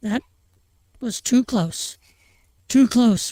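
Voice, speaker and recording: Doing a put-on character voice, a woman sounds wheezy at a fairly high pitch. The recording is very clean, dry and close, with no echo and a silent background. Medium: read story. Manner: wheezing, breathless.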